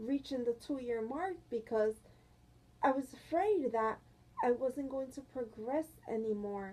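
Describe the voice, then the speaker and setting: Her voice high and her tone dark and mellow, a woman speaks with ordinary pitch variation. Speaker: quadriplegic vlogger. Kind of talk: personal vlog. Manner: soft-spoken; halting.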